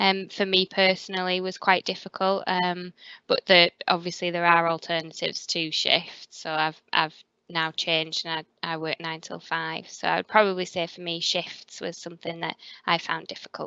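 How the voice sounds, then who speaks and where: Speaking at a moderate pace with a northern English accent, a woman uses a fairly low pitch and monotone, flat intonation, with big swings in loudness. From northern England. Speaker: hospital pathology quality manager. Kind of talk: careers interview. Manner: hesitant, with fillers.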